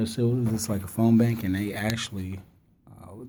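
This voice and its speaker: A man with a dark, mellow tone and medium pitch talks at a fairly quick pace with fairly even intonation, with audible room echo. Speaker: activist and former radio personality. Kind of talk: casual chat. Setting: radio studio. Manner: fast.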